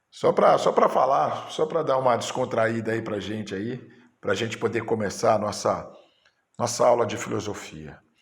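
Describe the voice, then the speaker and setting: At a moderate pace, a man speaks with audible room echo around his voice. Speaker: teacher. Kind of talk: teacher training lecture. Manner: halting.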